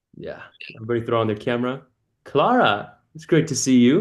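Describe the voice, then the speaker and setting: A man is speaking. His pace is very fast. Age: 20s. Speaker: community coach and call host. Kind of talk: casual group video call. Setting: video call. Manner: warm, animated.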